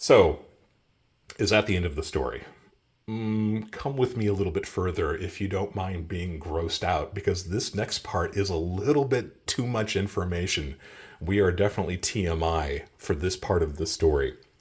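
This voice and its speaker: A man speaks at a moderate pace with a fairly low pitch, ordinary pitch variation and a somewhat breathy quality. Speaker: coin and precious metals video creator. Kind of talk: casual video monologue.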